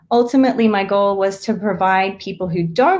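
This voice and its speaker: This woman speaks with an Australian accent. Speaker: therapist. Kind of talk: live-streamed interview chat. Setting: live video stream.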